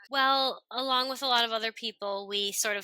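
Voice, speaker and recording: In a dry, close recording with no echo, a woman speaks loudly in a bright, sharp tone with ordinary pitch variation. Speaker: homeschooling mother. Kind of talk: casual chat. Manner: animated.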